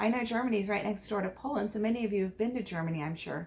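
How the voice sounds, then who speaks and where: Her American accent comes with lively intonation. The woman's pitch is fairly high and her voice somewhat breathy. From United States. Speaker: teacher. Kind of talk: virtual classroom lesson for foreign students.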